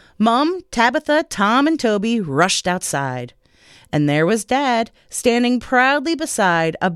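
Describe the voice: The clip is plain reading aloud. Nothing more is heard in the delivery.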